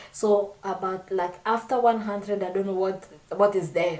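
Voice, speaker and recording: A woman's medium-pitched voice moves at a moderate pace with fairly even intonation, while noticeable background noise runs behind her. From Congo. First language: not English. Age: 20s. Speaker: vlogger. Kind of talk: casual chat. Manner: halting.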